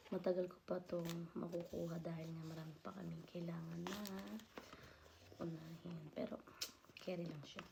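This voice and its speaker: Soft-spoken and whispering, a woman talks at a moderate pace with audible room echo. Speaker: vlogger. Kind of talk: unboxing vlog.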